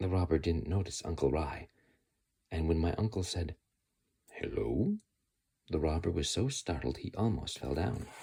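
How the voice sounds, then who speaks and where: A man's very deep, low voice with a dark, mellow tone and vocal fry, lively intonation, at a moderate pace. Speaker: ASMR creator. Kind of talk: whispered ASMR book reading. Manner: whispered, soft, calm.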